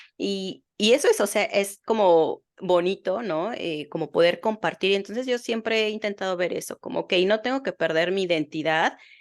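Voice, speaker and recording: Over a quiet background, a woman at a medium pitch talks with hardly any pauses and ordinary pitch variation. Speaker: psychotherapist podcast host. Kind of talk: podcast interview. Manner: fast.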